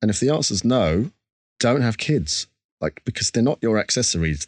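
In an Essex accent, the speaker talks at a fairly quick pace with a dry, close sound with no echo and a quiet background. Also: man. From Essex, England. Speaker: musician. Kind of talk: interview.

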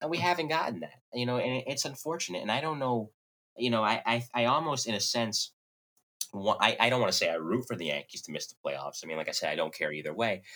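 A man with a medium pitch and a bright, sharp tone talks at a very fast pace, showing vocal fry and very wide pitch swings. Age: 20s. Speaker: podcast host. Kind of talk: casual chat. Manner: smooth, polished.

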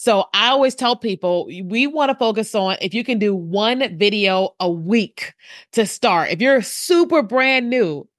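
A plain, everyday voice with lively intonation, dry and close with no echo, over a quiet background. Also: woman. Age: 40s. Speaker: video marketing strategist. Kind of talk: interview.

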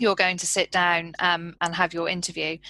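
At a moderate pace and medium pitch, a woman speaks in a bright, sharp tone. The background is quiet, and the sound is dry and close with no echo. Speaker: researcher developer. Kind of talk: casual chat.

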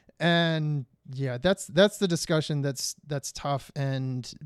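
Using an ordinary speaking voice, a man talks with an American accent at a fairly slow pace with ordinary pitch variation. The recording is very clean, dry and close, with no echo and a silent background. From Detroit, Michigan. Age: 40s. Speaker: television producer and actor. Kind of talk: interview.

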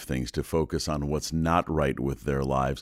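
Heard on a very clean recording with a silent background, a man with vocal fry speaks at a moderate pace. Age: 60s. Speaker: podcast host. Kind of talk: casual interview. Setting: studio.

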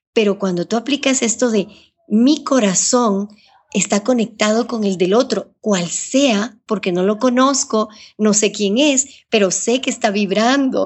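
A woman with a normal speaking voice talks at a fairly slow pace, fairly high in pitch, with ordinary pitch variation and very even loudness. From Ecuador. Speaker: journalist and radio broadcaster. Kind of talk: interview.

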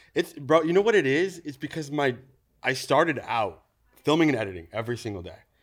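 Over a silent background in a very clean recording, a man talks at a very fast pace with very wide pitch swings and vocal fry. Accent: Californian. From California Central Valley (Newman). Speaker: creative director and DIY content creator. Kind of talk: casual interview chat. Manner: animated.

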